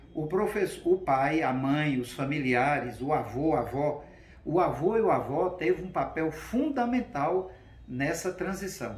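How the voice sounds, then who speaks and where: A man's fairly high voice at a fairly slow pace, lively in intonation, with audible room echo. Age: 60s. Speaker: school director and teacher. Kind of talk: interview.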